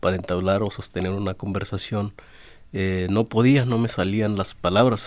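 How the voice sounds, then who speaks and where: A man with a fairly low pitch speaks with fairly even intonation. The recording is very clean, with a silent background. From Oaxaca, Mexico (Zapotec village, Valles del Sur). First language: Zapotec (speaking Spanish). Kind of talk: radio interview. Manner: halting, many fillers.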